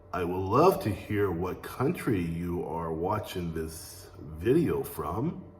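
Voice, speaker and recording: A man talks at a very slow pace. Noticeable background noise runs beneath his words. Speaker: English teacher, Air Force veteran. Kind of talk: language lesson to camera. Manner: slow, clear.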